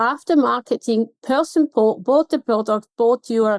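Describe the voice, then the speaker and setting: A woman's high-pitched voice moves with lively intonation, the sound dry and close with no echo. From Switzerland. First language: Swiss German. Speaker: contact centre consultant. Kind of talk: podcast interview.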